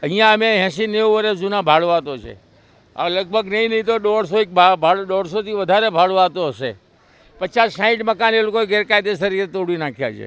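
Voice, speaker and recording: The man's voice is high-pitched and shows ordinary pitch variation. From Raikhad, Ahmedabad, India. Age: 70s. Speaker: resident tenant. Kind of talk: street interview.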